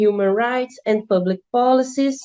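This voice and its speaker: Slow-ish and fairly even in intonation, a woman with a Brazilian accent speaks in a dark, mellow tone. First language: Portuguese. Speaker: law student presenter. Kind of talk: academic presentation. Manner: halting, with self-corrections.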